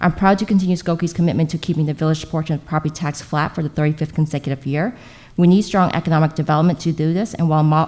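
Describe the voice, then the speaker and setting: A woman with an American accent talks at a very fast pace, her fairly low voice dark and mellow with fairly even intonation. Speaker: local politician. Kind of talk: prepared opening statement at candidate forum. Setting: public library forum with live audience.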